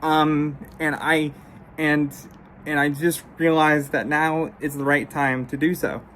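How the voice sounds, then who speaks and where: Speaking at a fairly slow pace, a woman has a very deep, low voice. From Russia (Siberia), adopted. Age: 30s. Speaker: YouTuber. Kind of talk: personal address to viewers. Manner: halting, repeats words and stutters.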